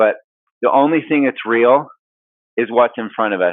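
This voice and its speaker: The man's intonation is fairly even throughout. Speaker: business coach and motivational speaker. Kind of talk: motivational talk. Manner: fast.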